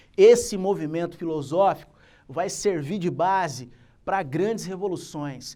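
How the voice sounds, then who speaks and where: A man with a high pitch for a man and a dark, mellow tone talks at a fairly slow pace with ordinary pitch variation, captured in a very clean recording with a silent background. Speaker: teacher. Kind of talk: lecture.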